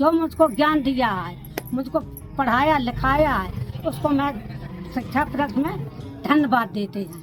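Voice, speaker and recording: Over music in the background, the voice carries lively intonation. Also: woman, high pitch for a woman. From Kanpur Dehat, Uttar Pradesh, India. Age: old. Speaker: adult literacy learner. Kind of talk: documentary interview answer.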